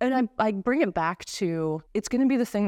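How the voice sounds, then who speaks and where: Against a quiet background, a woman with an American accent speaks in an unremarkable speaking voice at a moderate pace with lively intonation, the sound dry and close with no echo. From US East Coast, small mining town. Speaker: tech product executive. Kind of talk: interview.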